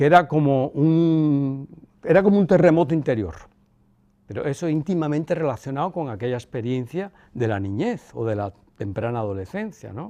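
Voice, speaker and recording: His pitch fairly high and swinging very widely, a man speaks at a moderate pace. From Cuba. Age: 60s. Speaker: son of a former head of state. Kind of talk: interview. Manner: halting.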